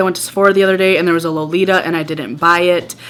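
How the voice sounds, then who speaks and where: With a Wisconsin accent, a woman talks at a very fast pace in an animated tone. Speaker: beauty vlogger. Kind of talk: casual product review.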